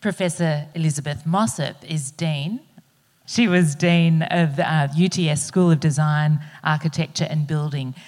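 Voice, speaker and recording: A woman with an Australian accent speaks at a very deep, low pitch, somewhat breathy, with fairly even intonation. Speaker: panel chair, professor. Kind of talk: panel moderation. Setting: stage with audience.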